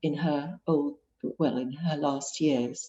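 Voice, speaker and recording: Speaking very slowly with an English accent, a woman uses ordinary pitch variation. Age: 60s. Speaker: painter and author. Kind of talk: author interview. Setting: video call. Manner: halting.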